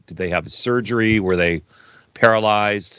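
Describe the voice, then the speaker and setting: A man with an American accent speaks at a moderate pace with a bright, sharp tone and a fairly low pitch. The background is quiet, and his pitch variation is ordinary. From US Midwest. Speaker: podcast host. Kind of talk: casual interview banter.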